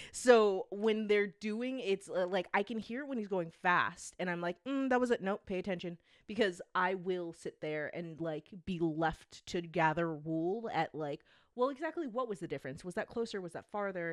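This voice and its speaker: Lively intonation marks a woman's unremarkable speaking voice, medium in pitch and moderate in pace, with a dry, close sound and no echo. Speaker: podcast co-host. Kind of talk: casual chat.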